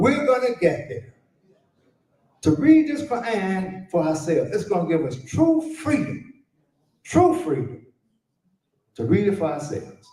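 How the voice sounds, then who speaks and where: An animated man with an American accent talks in a high pitch, his pitch swinging very widely. Long, frequent pauses break his speech, with music in the background. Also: fairly slow pace. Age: 70s. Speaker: conference speaker on Arabic education. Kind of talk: conference speech.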